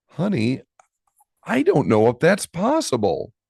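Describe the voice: A man does a put-on character voice, fairly high in pitch with very wide pitch swings, a slightly husky edge, vocal fry and a slightly mellow tone, at a fairly slow pace in a dry, close sound with no echo. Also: very clean recording, silent background.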